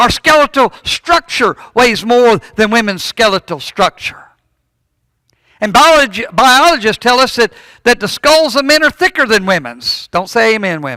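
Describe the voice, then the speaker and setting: A man's raised, projected voice at an extremely high pitch, bright and sharp in tone, with lively intonation and a moderate pace. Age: 60s. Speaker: preacher. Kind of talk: sermon. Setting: church. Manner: halting, repeats words.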